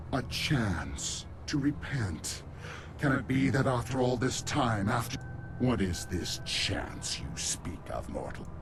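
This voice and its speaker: A man's put-on character voice at a medium pitch, delivered at a fairly slow pace over loud background noise. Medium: video game. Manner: grandiose, theatrical.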